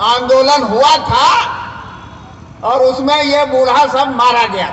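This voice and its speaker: Through noticeable background noise and audible room echo, a man speaks with fairly even intonation. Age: 70s. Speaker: political activist. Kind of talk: public speech at a meeting. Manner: impassioned.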